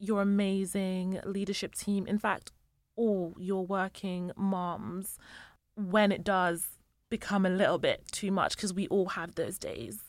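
A woman at medium pitch, speaking at a very slow pace, on a very clean recording with a silent background. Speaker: podcast co-host. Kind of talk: casual interview conversation.

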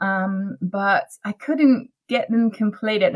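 Her voice is somewhat breathy. This woman speaks at a medium pitch. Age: 40s. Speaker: author. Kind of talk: interview.

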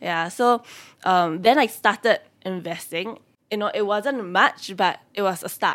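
At a fairly slow pace, a woman with a Singaporean accent speaks at medium pitch with ordinary pitch variation. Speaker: personal finance content creator. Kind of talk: casual interview chat.

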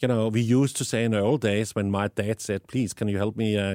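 A man with a Danish accent talks at a moderate pace. The sound is dry and close with no echo, and the recording is very clean with a silent background. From Denmark. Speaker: tech company founder. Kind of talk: interview. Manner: animated, passionate; halting with many fillers.

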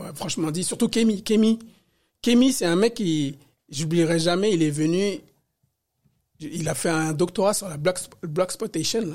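Recorded very cleanly against a silent background, a man with a high pitch and ordinary pitch variation speaks at a very slow pace. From Paris. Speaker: hip-hop dancer and independent researcher. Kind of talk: interview. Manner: halting, many repetitions.

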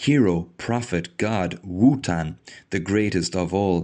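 The speaker moves at a fairly slow pace with ordinary pitch variation. The background is quiet. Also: man. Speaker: podcast host reading and discussing a lecture. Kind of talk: literary lecture reading, solemn, with casual chatty asides. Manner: hesitant, filler-heavy, conversational; earnest, measured reading pace.

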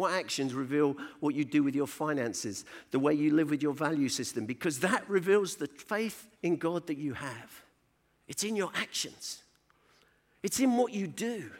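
In a London accent, the speaker uses lively intonation at a moderate pace on a very clean recording with a silent background. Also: man, fairly high pitch for a man. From East London. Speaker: church speaker. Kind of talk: pep talk, exhortation to act in faith. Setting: conference stage with audience. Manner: urgent, rousing, emphatic.

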